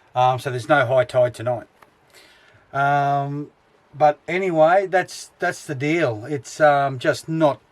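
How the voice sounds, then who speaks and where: Speaking very slowly in an Australian accent, a man uses a fairly high pitch with ordinary pitch variation. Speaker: travel vlogger. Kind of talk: casual vlog narration. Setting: outdoors at a beach camp. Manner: hesitant, many fillers.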